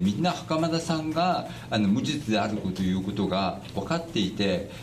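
With light background noise, a man speaks at a moderate pace in a fairly low pitch that moves in very wide swings. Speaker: lawyer. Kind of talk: interview answer. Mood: indignant, frustrated. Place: meeting room. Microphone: handheld.

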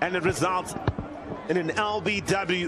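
A man's voice, high in pitch. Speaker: cricket commentator. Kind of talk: live ball-by-ball cricket commentary.

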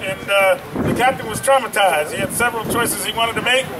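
At a fairly quick pace, a man speaks in a raised, projected voice amid noticeable background noise. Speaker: event announcer. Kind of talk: award announcement. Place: street.

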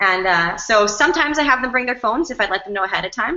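A woman talking very fast at a fairly high pitch. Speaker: session moderator, PE teacher. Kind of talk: event hosting. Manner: excitable. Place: classroom. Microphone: earbuds.

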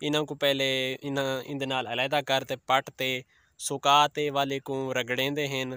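At a moderate pace, a man speaks at medium pitch with little pitch movement, his tone clear, smooth, bright and sharp.

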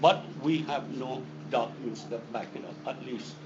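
Amid audible room echo, a man's pitch makes very wide swings. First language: not English. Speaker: defense attorney. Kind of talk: legal hearing argument. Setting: board meeting hearing room. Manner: combative.

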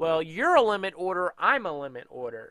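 A man with a high pitch talks at a moderate pace with lively intonation and a bright, sharp tone. The background is quiet and the sound dry with no echo. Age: 30s. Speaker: day trading educator. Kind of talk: tutorial. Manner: casual. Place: home room. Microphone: headset.

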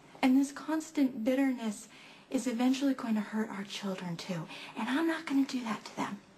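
Clear music plays in the background. A woman speaks at a high pitch with ordinary pitch variation. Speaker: actress in drama scene. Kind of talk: acted dramatic dialogue. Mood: upset, pleading, frustrated. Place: home room.

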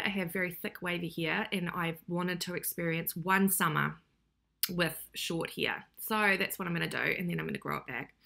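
Against a quiet background, a woman with a New Zealand accent speaks at a fairly quick pace with vocal fry. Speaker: YouTuber reacting to videos. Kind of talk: casual reaction vlog. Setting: home recording. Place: kitchen. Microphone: webcam.

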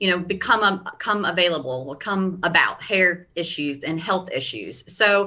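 A woman speaks at a moderate pace with hardly any pauses. Her pitch variation is ordinary. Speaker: hair care product educator. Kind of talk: interview answer. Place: home room. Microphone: video call.

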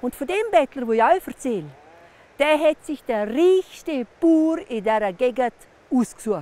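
A woman with a Vorarlberg accent, high pitch and lively intonation at a very slow pace, in a dry sound with no echo. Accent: Montafon dialect. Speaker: storyteller. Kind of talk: folk legend telling. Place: open country.

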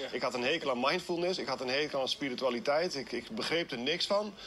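A man talks fairly quickly while light background noise runs beneath. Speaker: running workshop instructor. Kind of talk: interview answer. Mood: reflective, personal confession. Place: forest. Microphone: lapel.

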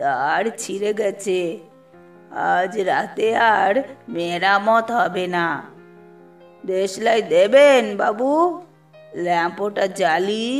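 A woman speaks in a put-on character voice, hoarse and at a very slow pace. Her pitch sits in the medium range with ordinary variation, over faint background music. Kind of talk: humble, polite.

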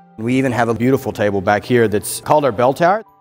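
Faint music plays behind a man who talks at a fairly quick pace with ordinary pitch variation. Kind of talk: interview answer. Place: cafe.

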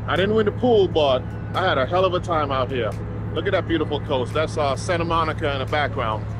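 The speech runs at a very fast pace with a dry, echo-free sound. Noticeable background noise sits behind it. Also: man. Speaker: fishing vlogger. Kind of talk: casual vlog chat. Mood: happy, upbeat. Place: boat. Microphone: phone near.

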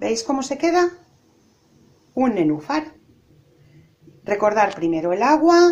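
Her pitch swings very widely. The woman keeps a fairly slow pace. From Spain. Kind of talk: cooking tutorial. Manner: animated. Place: kitchen. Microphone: phone near.

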